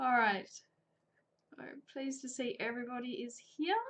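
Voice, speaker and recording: High-pitched female speech with lively intonation in an Australian accent. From Australia, New South Wales (Coffs Harbour). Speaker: chain maille crafts teacher. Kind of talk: live tutorial. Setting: live stream. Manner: chatty.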